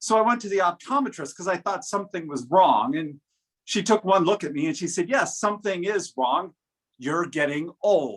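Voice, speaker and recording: Lively in intonation and high in pitch, a man's voice comes through a very clean recording with a silent background. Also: moderate pace. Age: 60s. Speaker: humorous speech contestant. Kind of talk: humorous speech.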